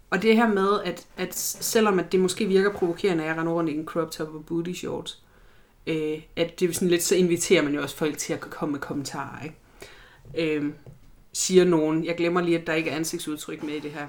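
Intonation stays fairly even. The delivery is at a moderate pace. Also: woman, fairly low pitch for a woman. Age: 30s. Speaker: body positivity activist and student. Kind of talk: interview. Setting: studio with documentary crew present. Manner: halting, many fillers.

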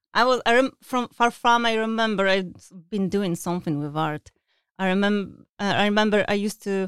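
A woman talks at a moderate pace with ordinary pitch variation. The sound is dry and close with no echo, on a very clean recording with a silent background. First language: not English. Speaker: UI artist for video games. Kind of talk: casual interview. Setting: studio. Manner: halting, many fillers.

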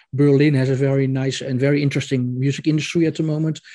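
A man with a Dutch accent talks at a very fast pace in a fairly high pitch. His tone is dark and mellow, his intonation flat and monotone. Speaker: podcast host, music journalist. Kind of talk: interview. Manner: halting.

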